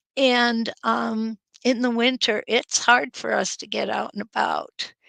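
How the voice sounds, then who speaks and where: Recorded with a dry, close sound and no echo, a woman with an American accent speaks at a very slow pace with big swings in loudness. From Upper Peninsula of Michigan, US. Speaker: quilting teacher. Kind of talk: live-stream chat reading viewer comments.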